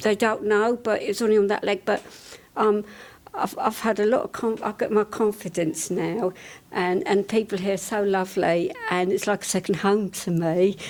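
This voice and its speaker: Over noticeable background noise, a woman speaks at a moderate pace and medium pitch with fairly even intonation. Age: 60s. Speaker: gym member. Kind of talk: testimony. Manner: halting.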